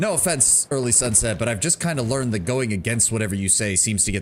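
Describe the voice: The passage is read out plainly. Its pitch moves in an ordinary way.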